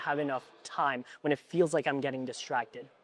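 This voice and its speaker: A man talks with a plain, everyday voice at a fairly high pitch. His intonation stays fairly even. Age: 20s. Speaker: video creator and interviewer. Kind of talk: interview. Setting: at a mastermind event.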